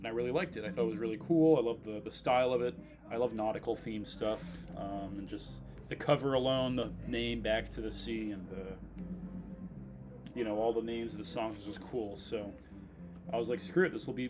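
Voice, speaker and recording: With music in the background, a man speaks at a fairly low pitch with lively intonation. His pace is fairly quick, yet he takes long, frequent pauses. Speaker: record collector vlogger. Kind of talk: casual vlog talk. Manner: fast; hesitant, many fillers. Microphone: laptop mic.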